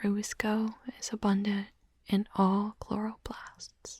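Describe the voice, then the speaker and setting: Soft-spoken and soothing in tone, the voice moves at a very slow pace. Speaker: ASMR content creator. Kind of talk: ASMR roleplay, soft-spoken study-with-me session. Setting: binaural microphone recording, studio. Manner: soft-spoken, whispery, soothing, slow.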